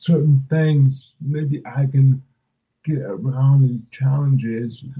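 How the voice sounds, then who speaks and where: Very slow, somewhat breathy speech with monotone, flat intonation. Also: man. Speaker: motivational speaker. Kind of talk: interview. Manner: halting, many fillers. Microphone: remote line, audio dropped.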